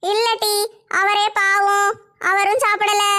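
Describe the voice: In a cartoonish character voice, a woman talks very slowly at an extremely high pitch with monotone, flat intonation.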